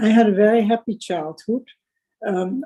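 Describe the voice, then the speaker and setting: Her voice has a dark, mellow tone and ordinary pitch variation. The woman speaks with a Dutch accent. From Netherlands, Amsterdam. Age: 90s. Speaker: Holocaust survivor. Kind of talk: testimony.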